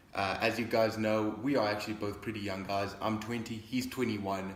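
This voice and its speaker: Amid noticeable background noise and audible room echo, a man speaks fairly quickly with fairly even intonation. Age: 20s. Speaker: young person in addiction recovery. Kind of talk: casual vlog talk.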